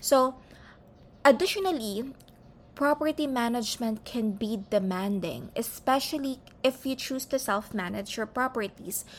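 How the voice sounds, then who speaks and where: A woman with a Filipino accent and a high pitch speaks at a moderate pace with lively intonation. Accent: Filipino English, Taglish code-switching. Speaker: podcast host. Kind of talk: informational monologue.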